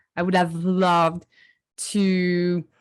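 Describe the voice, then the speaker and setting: A woman at medium pitch with a French accent, on a very clean recording with a silent background. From southern France. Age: 20s. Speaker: digital artist. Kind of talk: interview.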